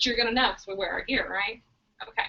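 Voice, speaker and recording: A woman talks in an animated tone. Her voice is raised and projected. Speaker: network marketing team leader. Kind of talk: group training call. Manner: fast.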